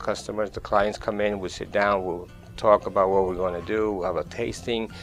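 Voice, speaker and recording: Over music in the background, a man talks at a moderate pace. His pitch is fairly low. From Colombia, Caribbean coast (Barranquilla). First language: Spanish. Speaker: chef, catering company owner. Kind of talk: interview answer. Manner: soft-spoken, friendly.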